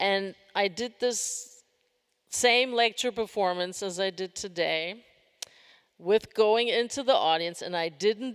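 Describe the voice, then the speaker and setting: A woman with a plain, everyday voice speaks at a medium pitch with ordinary pitch variation. Her pace is fairly slow. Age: 60s. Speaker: performance artist. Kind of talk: Q&A answer after a lecture performance.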